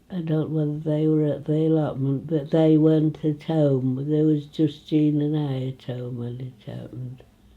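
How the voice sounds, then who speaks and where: A woman speaks at a moderate pace with a very deep, low pitch and a dark, mellow tone. Her intonation stays monotone and flat. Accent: East Midlands. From England, Retford, Nottinghamshire. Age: 80s+. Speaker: local elder reminiscing. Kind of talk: casual interview. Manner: halting.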